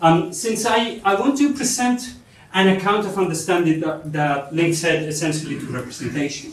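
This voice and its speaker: A man speaks at a moderate pace. There is audible room echo and light background noise. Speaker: presenter. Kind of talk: lecture. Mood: light, joking aside. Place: hall.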